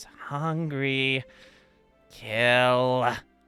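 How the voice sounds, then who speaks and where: Faint music plays in the background as a man at medium pitch performs a put-on character voice. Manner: hungry, menacing.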